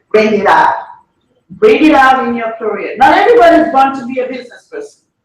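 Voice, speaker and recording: Heard with audible room echo, the speaker has an African accent, an animated tone and very wide pitch swings. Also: woman. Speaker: entrepreneur. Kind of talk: conference talk.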